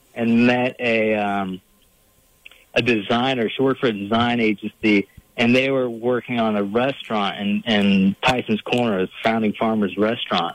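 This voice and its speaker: Music plays in the background as a man with a Virginia accent talks at a fairly slow pace. His voice is medium in pitch, with monotone, flat intonation. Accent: noticeable Virginia. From Northern Virginia, Fairfax County. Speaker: painter and bear hunter. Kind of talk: casual interview.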